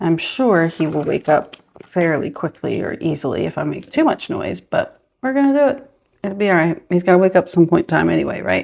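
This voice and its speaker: Soft-spoken, a woman talks at a fairly quick pace. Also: big swings in loudness. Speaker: budgeting vlogger, mom. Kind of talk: casual vlog monologue. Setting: at home early morning. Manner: soft-spoken, talking quietly.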